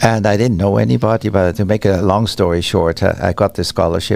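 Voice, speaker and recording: A man talks at a fairly quick pace with a Swiss German accent. Noticeable background noise runs beneath him. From German-speaking Switzerland. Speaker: musician and conductor. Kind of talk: podcast interview.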